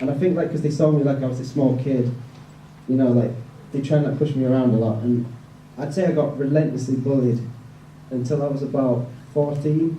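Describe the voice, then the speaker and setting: With a Yorkshire accent, a man speaks fairly quickly in a dark, mellow, somewhat breathy voice of fairly high pitch and fairly even intonation, taking long, frequent pauses amid audible room echo. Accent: northern English (Yorkshire). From northern England, West Yorkshire (Bradford). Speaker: evangelist. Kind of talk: testimony. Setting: event with audience, handheld mic. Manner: casual, many fillers (like, um).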